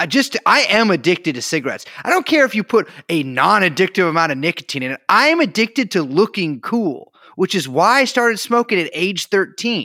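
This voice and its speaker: In a raised, projected voice with a bright, sharp tone, the speaker moves at a fairly quick pace through very wide pitch swings, on a very clean recording with a silent background and a dry, close sound with no echo. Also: man, high pitch for a man. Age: 30s. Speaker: podcast co-host. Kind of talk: casual chat.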